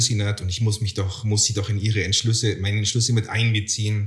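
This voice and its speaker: Speaking at a moderate pace, a man with a fairly low pitch sounds somewhat breathy. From Bavaria, Garmisch-Partenkirchen. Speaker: podcast co-host. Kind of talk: casual chat.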